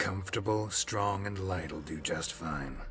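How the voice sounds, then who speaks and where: A man uses a put-on character voice, very deep and low in pitch, at a fairly slow pace. Background noise is clearly audible. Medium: video game. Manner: terse, clipped.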